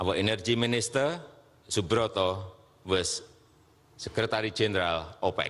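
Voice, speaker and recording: With an Indonesian accent, a man speaks at a fairly low pitch with ordinary pitch variation and long, frequent pauses. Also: moderate pace. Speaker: head of state. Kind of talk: formal speech at international forum.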